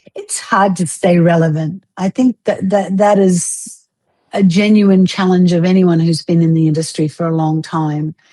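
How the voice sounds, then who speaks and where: Speaking at a moderate pace, a woman uses an unremarkable speaking voice, fairly low in pitch with fairly even intonation. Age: 60s. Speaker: fitness instructor. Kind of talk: interview.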